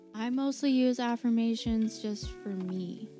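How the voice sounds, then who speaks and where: Music plays behind a woman with a fairly high pitch. She talks at a fairly slow pace with lively intonation. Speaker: spirituality and self-help vlogger. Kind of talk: casual talk to camera. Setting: poor-quality home mic recording.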